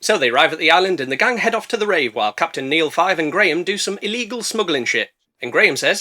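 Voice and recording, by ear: Lively intonation while reading aloud in a natural voice, the background quiet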